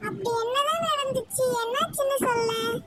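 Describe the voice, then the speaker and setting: This squeaky, cartoonish character voice moves at a moderate pace over light background noise. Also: woman, extremely high pitch for a woman. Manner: gentle, reassuring.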